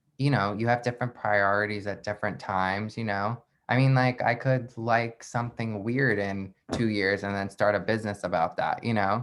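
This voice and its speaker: With an American accent and a plain, everyday voice, a man talks at a fairly low pitch and moderate pace, using fairly even intonation and hardly any pauses. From Long Island, New York. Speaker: entrepreneur. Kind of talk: casual chat. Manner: casual, filler-heavy speech.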